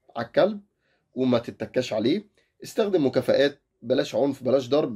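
With an Egyptian accent, a man speaks in a dark, mellow tone at a fairly high pitch, his intonation lively over a quiet background. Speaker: dog-training YouTuber. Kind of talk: casual tutorial.

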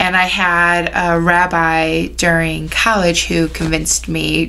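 A woman speaks with a Chicago accent. Noticeable background noise runs underneath. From Chicago area, US Midwest. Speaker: rabbi. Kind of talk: casual interview.

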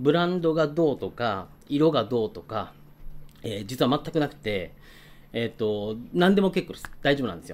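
The man talks at a moderate pace. His pitch swings very widely. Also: fairly high pitch for a man. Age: 50s. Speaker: watch YouTuber; hobby vlogger. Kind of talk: casual vlog talk; casual vlog chat. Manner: hesitant with many fillers; polite formal. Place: home room. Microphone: phone near.

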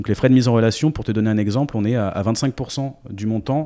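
Against a quiet background, a man with a dark, mellow tone speaks fairly quickly at a medium pitch, with ordinary pitch variation. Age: 30s. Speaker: startup founder; guest. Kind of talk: interview. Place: home room. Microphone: handheld.

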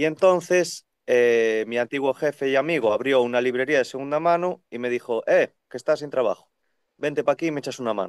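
With ordinary pitch variation, a man speaks against a quiet background, the sound dry with no echo. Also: fairly quick pace. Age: 30s. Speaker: second-hand bookseller. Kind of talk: casual chat. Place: shop. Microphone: video call.

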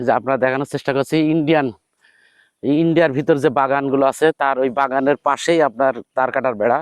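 A man's fairly high-pitched, normal speaking voice with fairly even intonation and very even loudness, dry and close with no echo against a quiet background. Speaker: vlogger. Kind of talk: walking tour vlog narration. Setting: outdoors.

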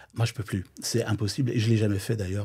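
A man speaks in a dark, mellow tone that is somewhat breathy. The recording is very clean and the background silent. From Flanders, Belgium. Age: 50s. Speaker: drag queen DJ. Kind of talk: casual interview.

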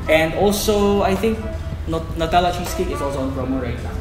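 The background carries clear music. A man talks at a fairly quick speed. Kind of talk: promotional presentation to camera. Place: cafe.

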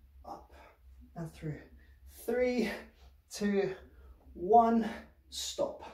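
Against a quiet background with audible room echo, a man's high-pitched voice moves with ordinary pitch variation. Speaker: fitness instructor. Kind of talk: workout class instruction. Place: home room. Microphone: camera far.

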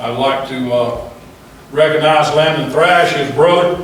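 A man with an Alabama accent speaks at a fairly high pitch with ordinary pitch variation. There is audible room echo and noticeable background noise. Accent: Southern US (Alabama). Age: 60s. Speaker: youth baseball coach. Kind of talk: speech at council meeting. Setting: city council meeting.

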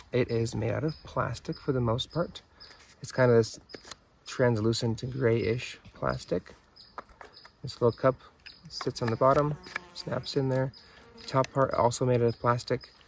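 The speech moves at a moderate pace with fairly even intonation and long, frequent pauses over light background noise. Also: man, dry sound with no echo. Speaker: outdoor gear reviewer. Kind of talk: casual product review. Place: open country.

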